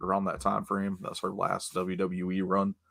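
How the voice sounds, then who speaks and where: A man with a fairly low pitch and a bright, sharp tone talks on a very clean recording with a silent background. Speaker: wrestling podcast host. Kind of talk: casual chat. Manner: slurring.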